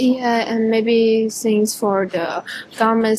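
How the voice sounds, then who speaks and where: Amid noticeable background noise, a woman with a Chinese accent speaks at a very slow pace and a fairly high pitch. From China. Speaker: international student. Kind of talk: casual street conversation. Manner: halting.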